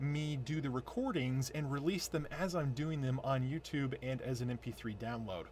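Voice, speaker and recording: Fairly high pitch and a somewhat breathy quality from a man, at a moderate pace. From US, moved around, born upstate New York. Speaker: author. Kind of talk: casual vlog update. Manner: hesitant, many fillers.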